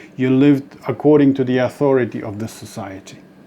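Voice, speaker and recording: Against noticeable background noise, a man talks at a medium pitch with a non-native accent. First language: not English. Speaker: spiritual author and dream interpreter. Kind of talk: spiritual talk to camera. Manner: halting, with many restarts.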